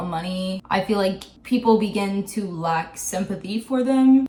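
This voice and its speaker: A woman at a medium pitch, moderate pace and ordinary pitch variation, over noticeable background noise. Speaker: video essayist. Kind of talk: video essay commentary.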